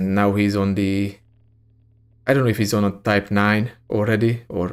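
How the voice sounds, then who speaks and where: Man with a strong Hungarian accent at a moderate pace, monotone, flat intonation and very even loudness, on a very clean recording with a silent background. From Hungary. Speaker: gaming streamer. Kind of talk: live gameplay stream chat. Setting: live stream. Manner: casual, many fillers and hesitations.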